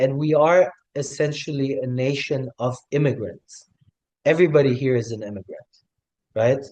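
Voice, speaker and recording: A man with a slight German accent, fairly high in pitch and dark and mellow in tone, with ordinary pitch variation, a moderate pace and long, frequent pauses. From Germany (West Berlin), also raised in Tanzania. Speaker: hospitality worker, new citizen. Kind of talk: interview testimony.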